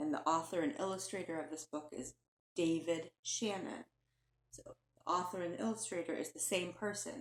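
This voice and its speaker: In a plain, everyday voice, a woman speaks at a moderate pace and fairly low pitch with lively intonation, the sound dry and close with no echo. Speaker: teacher. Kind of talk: children's picture book read-aloud. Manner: warm, gentle, engaging.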